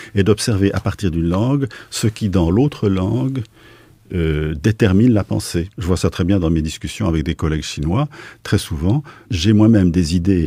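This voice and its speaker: A man's very deep, low voice, somewhat breathy, at a moderate pace with ordinary pitch variation. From Switzerland, Basel. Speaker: philosopher and sinologist. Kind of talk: radio interview. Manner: halting.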